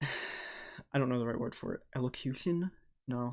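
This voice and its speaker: Mumbling, a man talks at a medium pitch. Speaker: podcast co-host and YouTuber. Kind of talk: casual chat. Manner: stumbles over words.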